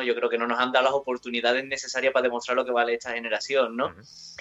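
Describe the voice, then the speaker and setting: Noticeable background noise sits behind a man speaking with an Andalusian accent. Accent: southern Spanish (Andalusian). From Andalusia, southern Spain. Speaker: rock guitarist. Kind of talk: interview.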